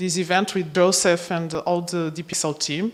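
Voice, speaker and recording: A woman with a Portuguese accent at a fairly slow pace, amid noticeable background noise. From Portugal. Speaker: project coordinator. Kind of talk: conference opening speech. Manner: halting.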